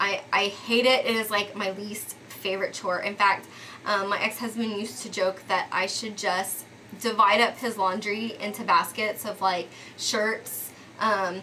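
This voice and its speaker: Over noticeable background noise, a woman with an American accent and a medium pitch speaks fairly slowly with fairly even intonation. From Texas, Dallas. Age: 30s. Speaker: lifestyle vlogger. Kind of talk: casual vlog monologue. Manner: conversational with frequent um fillers.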